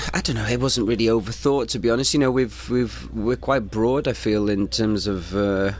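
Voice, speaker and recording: Over noticeable background noise, a man keeps a moderate pace with hardly any pauses. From North Wales (Mold area). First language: Welsh. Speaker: rock band musician. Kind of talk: radio interview.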